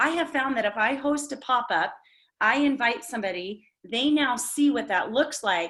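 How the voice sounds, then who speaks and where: At a moderate pace, a woman with a high pitch speaks in an animated tone with lively intonation. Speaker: direct sales team leader. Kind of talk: team training meeting.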